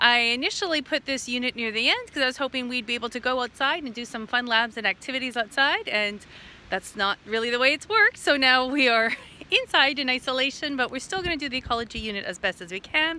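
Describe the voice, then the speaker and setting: A woman talks at a very fast pace in a raised, projected voice with a bright, sharp tone, the sound dry with no echo. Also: ordinary pitch variation. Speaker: teacher. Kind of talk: lesson introduction to students. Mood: cheerful, laughing. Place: forest. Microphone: phone near.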